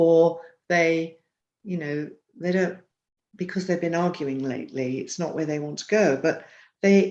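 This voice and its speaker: A woman speaks at a fairly slow pace. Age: 70s. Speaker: relationship counselor and psychotherapist. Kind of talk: interview.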